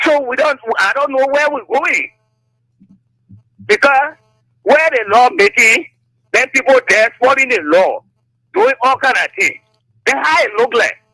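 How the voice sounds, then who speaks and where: An extremely high-pitched man speaks fairly slowly in a raised, projected voice, leaving long, frequent pauses. His intonation is lively, and the sound is dry and close with no echo. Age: old. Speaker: caller. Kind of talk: radio call-in.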